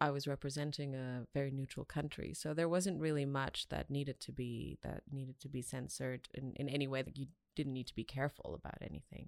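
A woman talks at a fairly quick pace in a very deep, low pitch with monotone, flat intonation. The recording is very clean with a silent background, dry and close with no echo. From Austria, with Iranian background. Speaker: former diplomat. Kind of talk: casual chat.

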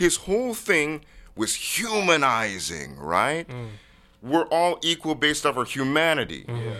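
In an American accent, a loud voice moves at a fairly slow pace, with very wide pitch swings and a bright, sharp tone. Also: man, fairly high pitch for a man. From Washington State, US (University Place, Tacoma area). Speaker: founder of a humanitarian peace organization. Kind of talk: casual interview. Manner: loud, boisterous.

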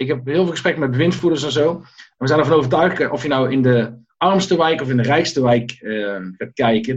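Somewhat breathy, a man speaks at a fairly quick pace. His pitch sits at a medium level and shows ordinary variation. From Netherlands, Tilburg (North Brabant). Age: 40s. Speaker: coach and former restaurant owner. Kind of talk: interview.

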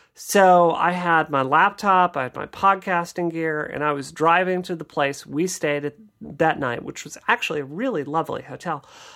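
Heard in a very clean recording with a silent background, a woman with an American accent and a normal speaking voice speaks at a moderate pace with a fairly low pitch, ordinary pitch variation and big swings in loudness. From Mississippi, US South. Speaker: game developer. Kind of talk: interview answers.

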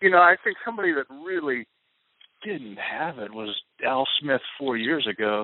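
A man with an American accent speaks in a fairly high voice. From United States. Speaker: comedian and political joke writer. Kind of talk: casual interview. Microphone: poor audio quality.

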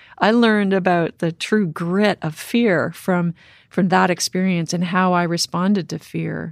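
A woman with an unremarkable speaking voice, fairly low in pitch, talks fairly slowly with fairly even intonation, in a dry, close sound with no echo on a very clean recording with a silent background. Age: 50s. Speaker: cave diver and explorer. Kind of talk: interview conversation.

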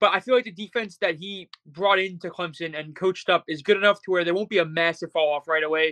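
A man speaks at a very fast pace in a high pitch with ordinary pitch variation, his tone bright and sharp, the sound dry and close with no echo over a quiet background. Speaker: college football Twitter account creator, guest. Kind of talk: casual interview.

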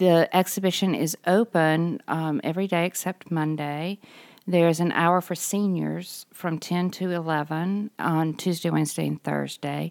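On a very clean recording with a silent background and a dry, close sound with no echo, a woman with a Mississippi accent speaks fairly slowly with fairly even intonation. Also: fairly low pitch for a woman. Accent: US Southern (Mississippi). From Mississippi (Greenville). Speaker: art museum director. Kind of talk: interview.

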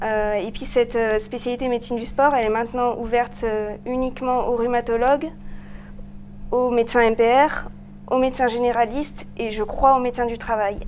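A woman speaks at a high pitch and a moderate pace, with long, frequent pauses. Her intonation is monotone and flat. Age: 20s. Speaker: medical resident. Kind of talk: interview.

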